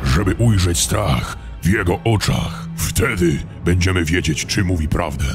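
A man puts on a character voice with a very deep, low pitch. He keeps a moderate pace over loud background noise. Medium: fan dub. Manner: scornful, aggressive.

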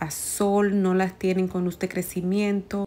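Over faint background music, a woman speaks at a very slow pace. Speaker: plant vlogger. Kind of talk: casual vlog commentary. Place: shop. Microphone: phone near.

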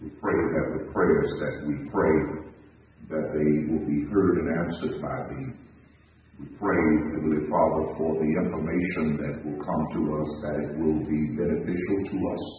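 A man's very deep, low voice at a fairly slow pace, fairly even in intonation, with strong room echo and light background noise. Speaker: minister leading prayer. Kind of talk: prayer. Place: church.

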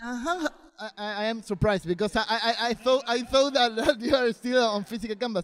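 A man with a Spanish accent, at an extremely high pitch and a fairly quick pace. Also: ordinary pitch variation. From Argentina. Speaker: interviewer. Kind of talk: interview. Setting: comic convention. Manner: halting. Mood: friendly, eager. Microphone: handheld.

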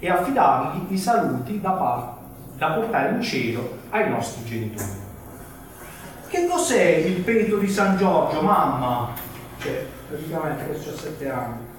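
A man speaks at a fairly high pitch with very wide swings, fairly slowly, with long, frequent pauses. Strong room echo and light background noise surround him. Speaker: journalist. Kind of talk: reading from a novel. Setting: live book presentation in a bookshop. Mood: humorous storytelling. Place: shop. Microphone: camera far.

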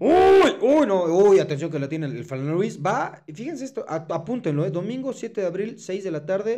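Against a quiet background, a man with a high pitch and a dark, mellow tone talks at a moderate pace with lively intonation. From Mexico. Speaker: sports podcast co-host. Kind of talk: casual chat. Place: studio. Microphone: studio mic.

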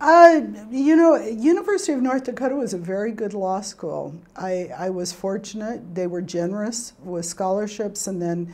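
A woman speaks with lively intonation, keeping a moderate pace. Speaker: federal judge being interviewed. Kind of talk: oral history interview answer. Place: studio. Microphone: lapel.

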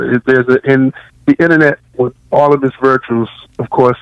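The speaker has an American accent and a monotone, flat intonation. The sound is dry and close, with no echo. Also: man. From Washington, D.C. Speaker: professor and novelist. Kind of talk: interview.

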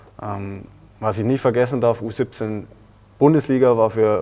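A man's fairly low, dark and mellow voice, flat and monotone, at a moderate pace, with light background noise. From southeastern Bavaria, Germany. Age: 20s (20). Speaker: professional footballer. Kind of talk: interview. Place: studio. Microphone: lapel.

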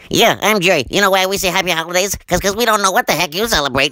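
A man's raised, projected voice, high in pitch, at a very fast pace with very even loudness and ordinary pitch variation. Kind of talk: ventriloquist comedy act. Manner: sarcastic, jokey.

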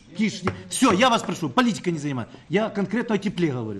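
Fast and high-pitched, a man speaks. His voice makes big pitch swings.

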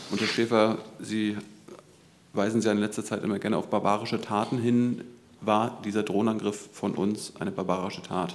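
A man with a fairly low pitch speaks at a moderate pace in a flat monotone. He leaves long, frequent pauses. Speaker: journalist. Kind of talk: press conference questioning. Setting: press conference room. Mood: pointed, critical questioning. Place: hall.

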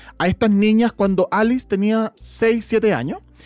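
A man speaks fairly slowly at a high pitch, the sound dry and close with no echo. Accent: Chilean. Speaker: podcast host. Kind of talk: casual chat.

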